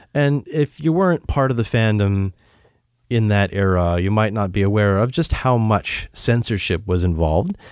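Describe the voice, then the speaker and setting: A plain, everyday voice, a man at a fairly low pitch speaks at a moderate pace with lively intonation and very even loudness, in a very clean recording with a silent background. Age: 30s. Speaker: fan site translator. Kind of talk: casual interview. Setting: in person with host.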